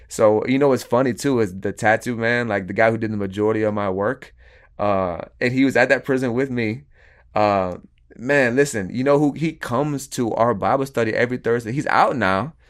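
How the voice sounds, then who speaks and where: A man with an American accent has a normal speaking voice, medium pitch and ordinary pitch variation. He talks at a fairly quick pace over a quiet background. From Florida, US South. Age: 30s. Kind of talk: casual interview testimony.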